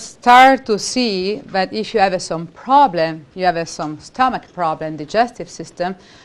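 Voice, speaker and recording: A woman with an Italian accent speaks at a fairly slow pace with lively intonation and hardly any pauses. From Italy. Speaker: holistic practitioner and educator. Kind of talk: seminar talk.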